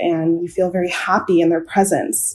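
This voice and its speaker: The speaker is a woman with a plain, everyday voice. Her pitch is medium. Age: 20s. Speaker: nurse. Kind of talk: storytelling interview.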